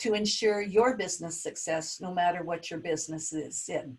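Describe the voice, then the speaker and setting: A somewhat breathy female voice. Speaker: webinar facilitator and business leader. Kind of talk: webinar presentation. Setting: video call.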